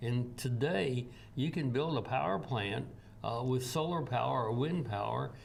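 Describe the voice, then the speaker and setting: With a Tennessee accent and lively intonation, a man talks at a moderate pace in a medium pitch, with audible room echo and noticeable background noise. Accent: Southern US (Tennessee). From US South, Tennessee. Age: 80s+. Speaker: energy expert. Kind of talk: interview. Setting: TV studio. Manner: halting, many fillers.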